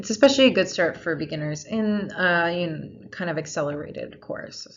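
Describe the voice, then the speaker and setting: A woman with a normal speaking voice talks at a moderate pace, her pitch fairly low. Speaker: lecturer. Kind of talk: lecture.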